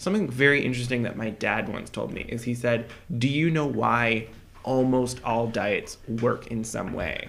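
A man at medium pitch talks at a moderate pace with ordinary pitch variation, with noticeable background noise and audible room echo around him. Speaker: podcast co-host. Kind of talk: casual chat.

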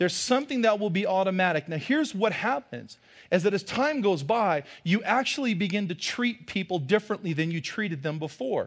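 On a very clean recording with a silent background, a man talks at a fairly quick pace in a high pitch, with an animated tone and lively intonation. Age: 40s. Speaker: pastor. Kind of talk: sermon. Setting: church.

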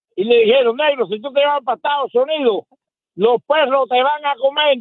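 A man's extremely high-pitched voice at a fairly quick pace, with ordinary pitch variation. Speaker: caller, former political prisoner. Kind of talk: call-in opinion.

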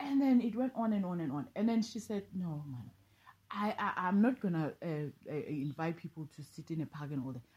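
The voice is somewhat breathy, with a dark, mellow tone and very wide pitch swings. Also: woman, fairly low pitch for a woman, moderate pace. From South Africa, Eastern Cape and Pretoria. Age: 40s. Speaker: life coach. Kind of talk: casual interview.

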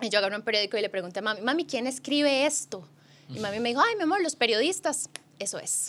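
A woman's very fast, fairly high-pitched speech with very wide pitch swings over noticeable background noise. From Costa Rica. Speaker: sports journalist. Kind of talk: casual chat.

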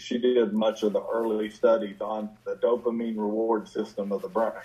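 Over noticeable background noise, a man with an American accent speaks at a moderate pace and a medium pitch. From southern West Virginia. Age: 60s. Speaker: addiction physician and author. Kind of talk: interview.

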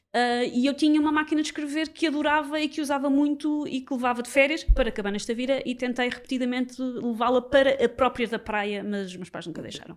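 A woman with a high pitch talks at a very fast pace with hardly any pauses, ordinary pitch variation, and big swings in loudness. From Portugal, Lisbon area (Sintra line). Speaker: comedy writer and radio host. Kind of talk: casual chat.

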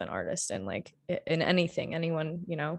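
A woman with an American accent uses a plain, everyday voice, fairly low in pitch, at a moderate pace. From Michigan (Marshall). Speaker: artist and art instructor. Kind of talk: interview conversation.

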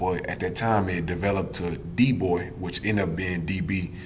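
A man with an American accent speaks at a fairly quick pace in a very deep, low voice. His intonation is flat and monotone, with audible room echo and noticeable background noise. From Wisconsin (Milwaukee). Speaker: prison inmate. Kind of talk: interview.

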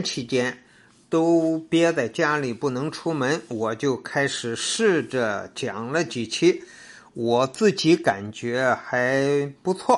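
A man's fairly high voice at a very slow pace, with ordinary pitch variation, over a quiet background. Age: 70s. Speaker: travel storytelling podcaster. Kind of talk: personal testimonial monologue. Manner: casual with fillers.

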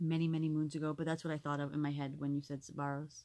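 A woman talks very fast in a dark, mellow tone. Her intonation is flat and monotone. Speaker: podcast co-host. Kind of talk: casual chat. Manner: loud.

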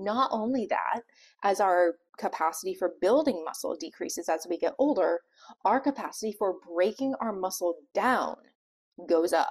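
A woman speaks in a normal speaking voice, pitched fairly high. Her moderate pace comes through on a very clean recording with a silent background. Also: lively intonation. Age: 40s. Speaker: pharmacist and health coach podcast host. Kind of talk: solo podcast talk.

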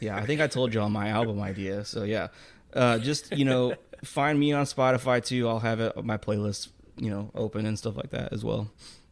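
An unremarkable speaking voice with an American accent. It moves at a fairly quick pace with ordinary pitch variation. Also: man, medium pitch for a man. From Texas. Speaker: podcast co-host. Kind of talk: casual chat.

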